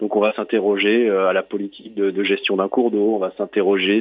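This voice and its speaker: A man talks fairly quickly, his intonation monotone and flat. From southern France, Toulon. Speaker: urban planner, cycling-geography guide. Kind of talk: interview. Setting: phone call. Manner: halting, many repetitions.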